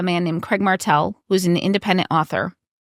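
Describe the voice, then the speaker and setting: In a very clean recording with a silent background, a woman with a Wisconsin accent speaks at medium pitch, the sound dry and close with no echo. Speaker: author and game developer. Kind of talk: podcast interview.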